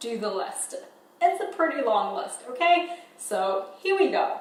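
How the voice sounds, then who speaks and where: With a New Zealand accent, a woman speaks at a very slow pace with very wide pitch swings, amid audible room echo and noticeable background noise. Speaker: filmmaker and photographer. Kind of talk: casual vlog.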